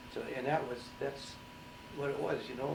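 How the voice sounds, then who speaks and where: Against noticeable background noise, a man with a fairly high pitch talks with fairly even intonation. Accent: Upper Midwest. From St. Cloud, Minnesota. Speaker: Navy veteran, Pearl Harbor survivor. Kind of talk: oral history interview answer.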